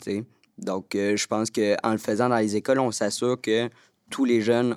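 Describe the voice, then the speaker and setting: Speaking at a moderate pace in a fairly low pitch, a man delivers monotone, flat intonation on a very clean recording with a silent background and a dry, close sound with no echo. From Quebec, Montreal. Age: 20s. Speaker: youth spokesperson. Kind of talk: round-table discussion.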